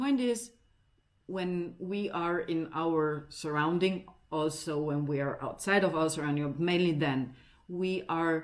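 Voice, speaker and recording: On a very clean recording with a silent background, a woman speaks in an Italian accent at a fairly slow pace. Her pitch is fairly low, with ordinary pitch variation. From Italy. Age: 50s. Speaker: video blogger on parenting and identity. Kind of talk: informal talk to camera. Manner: halting, with many fillers and repetitions.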